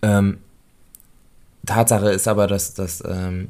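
This man speaks at a fairly low pitch with a dark, mellow tone. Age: 20s. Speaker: podcast co-host and daycare educator. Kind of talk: casual chat.

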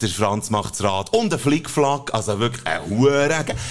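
Music plays in the background. A man speaks with a Swiss accent at a medium pitch. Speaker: podcast co-host. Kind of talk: casual chat with joke telling. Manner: animated.

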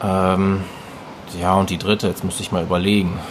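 A man talks at a fairly slow pace, with noticeable background noise behind him. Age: 20s. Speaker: fitness coach. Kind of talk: interview conversation.

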